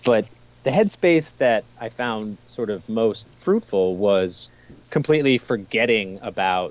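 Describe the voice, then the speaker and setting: Noticeable background noise is present. The man delivers his words fairly slowly. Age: 40s. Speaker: writer interviewed about a solo road trip. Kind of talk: interview. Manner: halting, repeats words.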